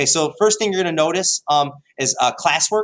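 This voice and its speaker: A man with a high voice speaks at a fairly quick clip in an animated, enthusiastic tone, with ordinary pitch variation. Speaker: high school history teacher. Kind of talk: tutorial. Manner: hesitant with many fillers.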